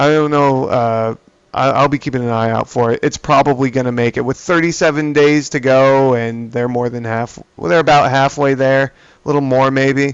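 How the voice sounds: A man's medium-pitched, clear, smooth voice at a moderate pace, with fairly even intonation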